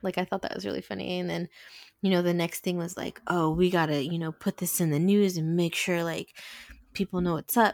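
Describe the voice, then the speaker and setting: In an unremarkable speaking voice, a woman with fairly low pitch talks at a fairly quick pace with fairly even intonation, recorded dry and close with no echo on a very clean track with a silent background. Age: 40s. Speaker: podcast co-host. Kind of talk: casual chat.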